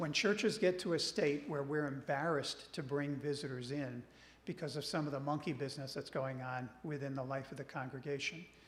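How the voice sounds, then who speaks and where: A man's fairly high, somewhat breathy voice at a fairly quick pace, with ordinary pitch variation and audible room echo. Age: 60s. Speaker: regional church minister. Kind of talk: church presentation.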